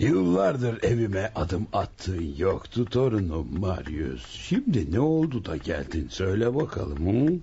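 In a put-on character voice, a man sounds gruff at a fairly low pitch, talking fairly slowly with hardly any pauses and very wide pitch swings over clear background noise. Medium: audio drama. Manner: mocking, gruff, chuckling.

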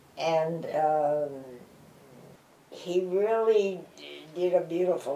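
In a recording with audible room echo and light background noise, a woman speaks at a very slow pace with ordinary pitch variation. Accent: American. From Chicago. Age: 80s+. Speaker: actress and dancer. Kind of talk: interview answer. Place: home room.

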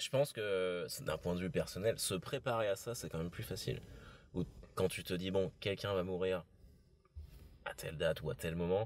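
A man with a very deep, low pitch and ordinary pitch variation leaves long, frequent pauses, the sound dry with no echo and light background noise. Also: moderate pace. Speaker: podcast host; former undertaker. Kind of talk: casual podcast conversation. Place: car.

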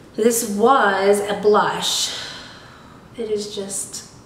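The delivery has monotone, flat intonation, and an audible room echo surrounds it. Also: woman. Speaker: beauty box reviewer. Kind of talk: casual unboxing review.

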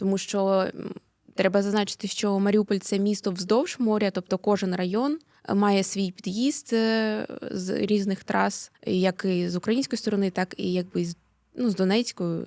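The woman's voice has a dark, mellow tone at a medium pitch, with fairly even intonation and a fairly slow pace. The recording is very clean, with a silent background and a dry, close sound with no echo. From Mariupol, eastern Ukraine. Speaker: activist, daughter of a prisoner of war. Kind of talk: interview. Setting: studio.

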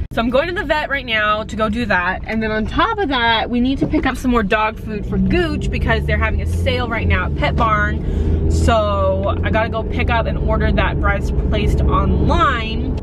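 At a moderate pace and with hardly any pauses, a woman talks over loud background noise in a dry recording with no echo. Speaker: vlogger. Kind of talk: casual vlog chat. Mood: irritated, ranting. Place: car. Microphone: phone near.

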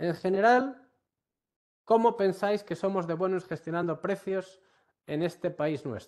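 Against a quiet background, a man speaks with a Galician accent. His pitch is high and his pace fairly slow. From Galicia, Ourense; Galicia, Spain. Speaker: university professor. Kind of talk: online workshop lecture. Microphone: video call.

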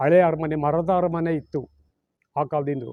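Speaking in a flat monotone, a man's voice sits at fairly high pitch. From Mysuru, Karnataka, India. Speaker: author and amateur historian. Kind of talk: interview, historical account. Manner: halting, with frequent pauses.

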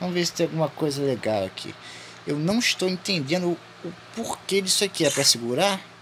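Over noticeable background noise, a man speaks at a moderate pace with a fairly high pitch and very wide pitch swings. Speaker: gaming youtuber. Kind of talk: let's play commentary. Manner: animated.

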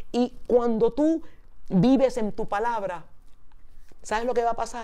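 A dark, mellow tone against a quiet background. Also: woman. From New York, the Bronx (Puerto Rican family). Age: 60s. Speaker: speaker. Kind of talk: sermon.

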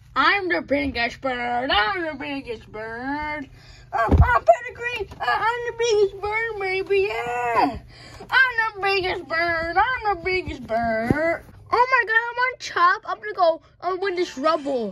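Putting on a character voice, a woman speaks at an extremely high pitch and a fairly slow pace, her pitch swinging very widely. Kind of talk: comic overacting. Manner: cocky, repetitive bragging.

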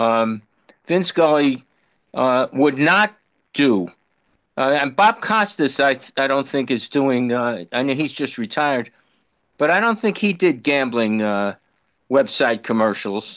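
Against a quiet background, a man speaks at a fairly slow pace with long, frequent pauses and very wide pitch swings. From New York. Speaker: baseball fan. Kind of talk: Q&A question. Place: home room. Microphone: video call.

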